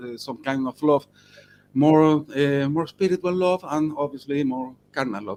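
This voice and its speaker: The voice moves at a fairly slow pace in a Spanish accent with ordinary pitch variation. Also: man. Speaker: rock musician. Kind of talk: interview. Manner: halting.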